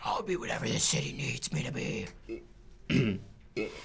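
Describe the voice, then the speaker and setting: A man uses a put-on character voice, gravelly and raspy with a fairly high pitch, at a moderate pace over clear background noise. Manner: gruff, serious.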